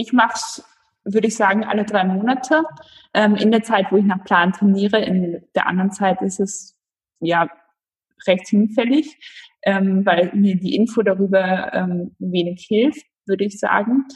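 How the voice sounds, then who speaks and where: The voice is somewhat breathy, with ordinary pitch variation and long, frequent pauses. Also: woman, medium pitch for a woman, fairly slow pace. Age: 20s. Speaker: amateur road cyclist. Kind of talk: interview.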